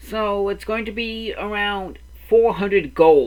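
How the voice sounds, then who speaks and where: A put-on character voice, fairly high in pitch, at a fairly slow pace. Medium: actual play.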